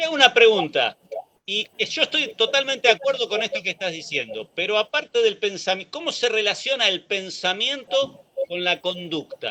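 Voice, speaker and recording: With a raised, projected voice, a man speaks at a moderate pace with high pitch and lively intonation, in a dry, close sound with no echo. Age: 60s. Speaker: radio host. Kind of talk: political discussion.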